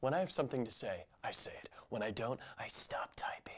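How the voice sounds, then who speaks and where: A man does a raspy, put-on character voice at a fairly quick pace. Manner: blustering, blunt, loud.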